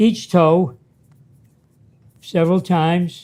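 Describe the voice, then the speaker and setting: A man speaks very slowly at a high pitch. His tone is dark and mellow. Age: 80s+. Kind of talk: exercise instruction talk.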